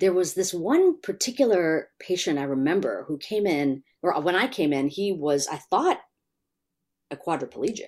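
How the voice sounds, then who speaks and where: A woman speaks with a General American accent at a moderate pace and with lively intonation. The recording is very clean, with a silent background. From US Midwest, Chicago. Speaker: attention researcher. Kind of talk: interview.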